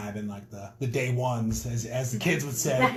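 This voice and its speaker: Amid noticeable background noise, a man with a medium pitch speaks with fairly even intonation. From North Dakota, Minot. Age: 30s. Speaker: rapper. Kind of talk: casual interview. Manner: hesitant, filler-heavy.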